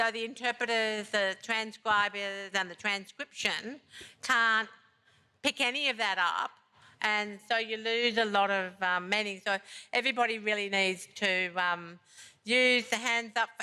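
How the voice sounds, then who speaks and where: Her voice is fairly high in pitch with a bright, sharp tone, as this woman speaks at a fairly slow pace with fairly even intonation and very even loudness on a very clean recording with a silent background. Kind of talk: conference presentation. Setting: conference session with audience. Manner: hesitant, many fillers.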